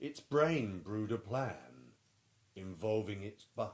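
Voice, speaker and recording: A man at a fairly slow pace. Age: middle-aged. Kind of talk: children's picture book read-aloud.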